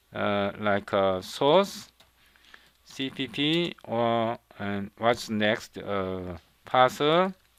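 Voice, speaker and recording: In a Korean accent, a man speaks at medium pitch and a very slow pace. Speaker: programming instructor. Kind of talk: tutorial. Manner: halting, with frequent fillers and repetitions.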